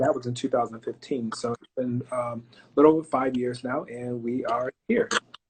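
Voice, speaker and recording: Somewhat breathy speech in an American accent comes at a moderate pace with hardly any pauses, fairly even intonation and big swings in loudness. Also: man, medium pitch for a man. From Florida, Fort Pierce. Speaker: pharmacist and business owner. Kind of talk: interview. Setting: live stream.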